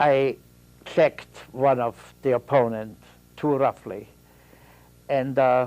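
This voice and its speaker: With an Austrian accent, a man of medium pitch speaks at a very slow pace in a monotone, flat intonation, leaving long, frequent pauses. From Austria, Vienna. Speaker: Holocaust survivor. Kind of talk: testimony. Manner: halting.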